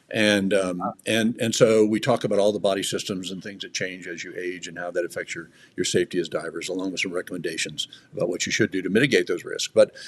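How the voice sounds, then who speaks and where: A man talks very fast, with big swings in loudness. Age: 70s. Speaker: diving safety expert, former head of a diver safety organization. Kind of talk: interview. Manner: halting.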